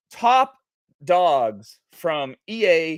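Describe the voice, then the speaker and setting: A man with an American accent and ordinary pitch variation, in a very clean, silent-background recording with a dry, close sound and no echo. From New England, near Boston. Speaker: gaming company executive. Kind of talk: casual podcast chat. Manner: animated.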